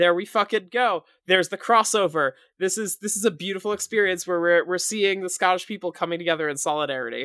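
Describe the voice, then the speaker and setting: The pace here is very fast. The recording is very clean, with a silent background. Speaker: podcast co-host. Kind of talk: casual chat.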